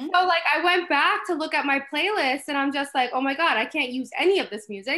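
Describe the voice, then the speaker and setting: The voice is raised and projected, with a bright, sharp tone and lively intonation. It moves at a fairly quick pace with hardly any pauses. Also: woman, high pitch for a woman. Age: 20s. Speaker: novelist. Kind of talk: casual chat. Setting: video call.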